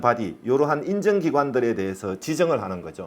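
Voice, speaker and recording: A man speaking at a fairly quick pace. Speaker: safety management consultant. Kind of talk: lecture. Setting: online lecture (recorded remotely). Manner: says own pronunciation is not clear.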